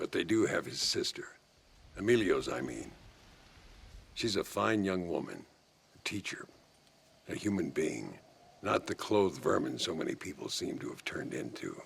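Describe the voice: Doing a put-on character voice, a man speaks low and fairly slowly with vocal fry, a husky, rough edge, big pitch swings, and long, frequent pauses.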